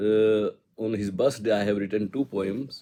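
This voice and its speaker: With an Indian accent, a man speaks at a fairly slow pace. His tone is dark and mellow. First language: Hindi. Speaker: spiritual poet. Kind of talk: personal reminiscence. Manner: halting.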